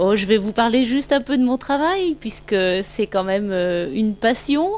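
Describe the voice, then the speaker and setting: A woman uses an ordinary speaking voice at a fairly slow pace, her intonation lively. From France, Brittany (near Rennes). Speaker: maternity nurse, family member. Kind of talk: casual home video interview.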